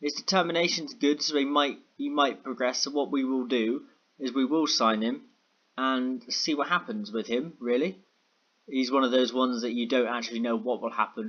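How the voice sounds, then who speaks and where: A man talks at a moderate pace with medium pitch. His pitch variation is ordinary. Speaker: gaming YouTuber. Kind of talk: gameplay commentary. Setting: home in a block of flats at night. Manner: quiet, keeping noise down.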